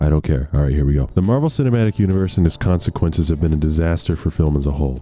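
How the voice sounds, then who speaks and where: A man with a very deep, low pitch talks very fast, with hardly any pauses and very even loudness. His pitch varies in an ordinary way, and noticeable background noise is present. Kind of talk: video essay narration. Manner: casual, joking.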